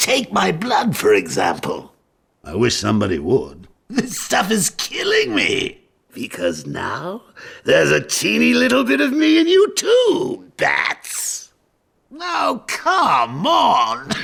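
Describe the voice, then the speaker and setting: Here a man uses a put-on character voice. He speaks at a fairly slow pace. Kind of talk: theatrical villain showmanship. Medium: video game. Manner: mocking, playful, theatrical.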